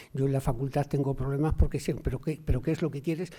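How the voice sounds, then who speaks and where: A man's voice comes across dark and mellow in tone and somewhat breathy. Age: 60s. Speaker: sociologist and university lecturer. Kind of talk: Q&A discussion after a talk. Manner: halting, with many repetitions.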